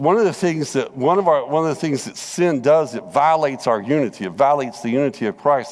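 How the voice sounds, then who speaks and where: Talking at a very fast pace, a man with a Southern US accent has a fairly high voice. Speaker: Bible class teacher. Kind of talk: Bible study lesson. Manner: conversational, repetitive.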